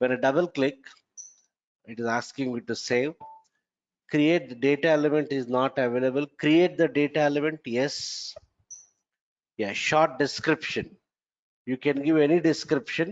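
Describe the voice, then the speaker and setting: At a moderate pace broken by long, frequent pauses, a man speaks with a fairly high pitch and ordinary pitch variation. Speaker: software trainer. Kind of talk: lecture.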